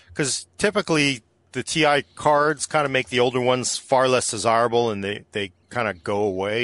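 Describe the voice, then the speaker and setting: A man with an unremarkable speaking voice talks at a moderate pace with ordinary pitch variation, recorded dry and close with no echo over a quiet background. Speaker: tech podcast host. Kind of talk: casual chat.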